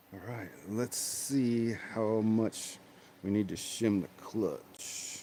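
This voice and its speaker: Soft-spoken and at a very slow pace, a man talks with a dark, mellow tone, medium pitch, fairly even intonation, and big swings in loudness. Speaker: RC hobbyist livestreamer. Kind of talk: casual livestream chat while working on RC cars. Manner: soft-spoken, talks under his breath.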